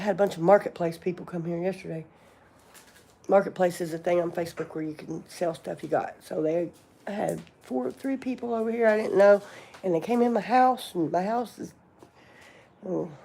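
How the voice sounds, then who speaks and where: A woman with a Southern US accent, medium-pitched with ordinary pitch variation, at a fairly quick pace with long, frequent pauses. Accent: a little more southern than locals. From southern Indiana, near Louisville. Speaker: livestreamer, cosmetologist. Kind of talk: casual livestream chat.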